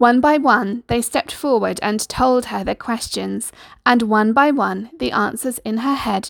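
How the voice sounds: This is a natural reading voice. It is heard throughout.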